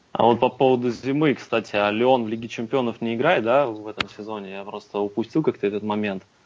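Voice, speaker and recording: This man talks at a very fast pace. His medium pitch carries fairly even intonation. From Russia, Kursk. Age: 20s. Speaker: football fan, amateur team captain. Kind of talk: casual chat.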